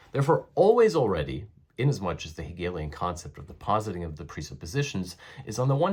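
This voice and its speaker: The speaker is a man with a somewhat breathy voice. His intonation is lively. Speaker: philosophy educator. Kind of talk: lecture. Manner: formal.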